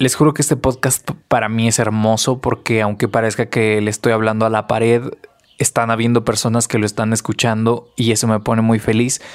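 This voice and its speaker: The speaker has a Mexican accent and a monotone, flat intonation. Loudness stays very even throughout. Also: man, medium pitch for a man, fairly quick pace. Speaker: podcast host. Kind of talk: casual monologue.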